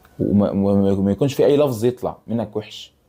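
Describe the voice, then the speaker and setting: A man talks at a fairly low pitch. He keeps a fairly slow pace, with music in the background. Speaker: YouTuber football fan commentator. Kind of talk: casual vlog monologue. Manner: halting, many false starts.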